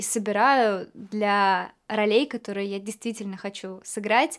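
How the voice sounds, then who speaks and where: In a quiet background, a woman speaks at a fairly high pitch with fairly even intonation. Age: 20s. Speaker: actress. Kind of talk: actor showreel self-introduction. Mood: warm, calm, lightly playful. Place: studio.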